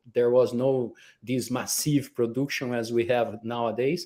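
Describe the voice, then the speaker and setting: In a Brazilian accent, a man speaks at medium pitch with a dark, mellow tone on a very clean recording against a silent background. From Brazil, countryside. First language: Portuguese. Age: 60s. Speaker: organic food importer. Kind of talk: interview. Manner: halting.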